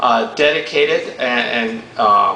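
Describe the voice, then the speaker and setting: A man is heard with audible room echo. Noticeable background noise runs behind him. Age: 70s. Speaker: ceremony emcee. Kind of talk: public ceremony speech.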